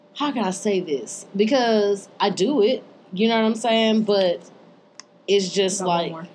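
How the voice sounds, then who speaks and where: Fairly slow pace, an ordinary speaking voice, and ordinary pitch variation. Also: woman, medium pitch for a woman. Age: 30s. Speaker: podcast and radio co-host. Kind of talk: casual chat. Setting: radio studio.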